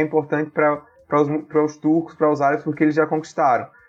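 Music plays in the background. Over it, a man speaks at a fairly high pitch. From Brazil, Paraíba (Campina Grande). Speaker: author and political science doctoral student. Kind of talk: interview.

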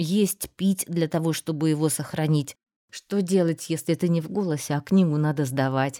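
A woman talks at a moderate speed in a very deep, low register, her pitch rising and falling in an ordinary way. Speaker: audiobook narrator. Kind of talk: casual chat.

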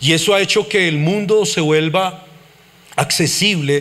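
A man talks in an animated tone with ordinary pitch variation. Noticeable background noise runs under his voice. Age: 40s. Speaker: pastor. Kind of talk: sermon.

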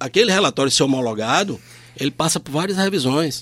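This man has an ordinary speaking voice, pitched fairly high, with lively intonation. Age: 50s. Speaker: public auditor. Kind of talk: radio interview.

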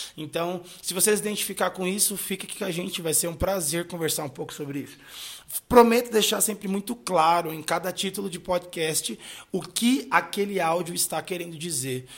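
Here a man speaks with a high pitch and ordinary pitch variation. His pace is moderate, with big swings in loudness. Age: 20s. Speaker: pastor and podcast host. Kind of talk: solo podcast monologue. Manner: casual, conversational.

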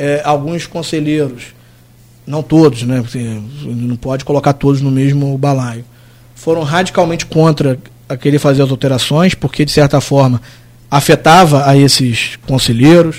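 An unremarkable speaking voice belongs to this man, pitched fairly high, with fairly even intonation and a moderate pace. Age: 30s. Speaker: city attorney general. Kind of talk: radio interview.

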